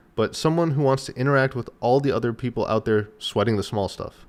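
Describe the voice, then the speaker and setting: Delivered at a fairly quick pace, a normal speaking voice is heard in a very clean recording with a silent background. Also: man. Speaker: podcast host. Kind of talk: scripted narration.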